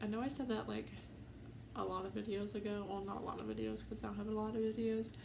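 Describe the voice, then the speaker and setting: Audible room echo and noticeable background noise both fill the clip. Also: woman. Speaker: YouTuber. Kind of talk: casual vlog storytime. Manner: hesitant, many fillers.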